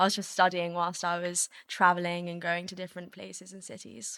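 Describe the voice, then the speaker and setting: A woman with a London accent speaks fairly quickly at a fairly low pitch, with a bright, sharp tone and hardly any pauses. Her loudness swings widely on a very clean recording with a silent background. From England, London. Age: 20s. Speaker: DJ and model. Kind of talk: casual interview chat.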